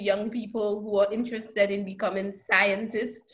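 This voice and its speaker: In a Saint Lucian accent, the speaker talks at a moderate pace with audible room echo. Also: woman. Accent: Caribbean (Saint Lucian). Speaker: professor. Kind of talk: lecture.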